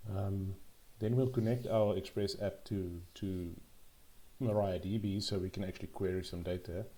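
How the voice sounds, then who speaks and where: This man's fairly low voice has a dark, mellow tone, sounds somewhat breathy, and moves at a moderate pace with fairly even intonation. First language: not English. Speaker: programming tutorial youtuber. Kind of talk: tutorial. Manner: halting, frequent ums and repetitions.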